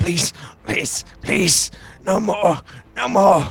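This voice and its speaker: A raspy, put-on character voice with lively intonation. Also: man, high pitch for a man. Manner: sneering, contemptuous, threatening.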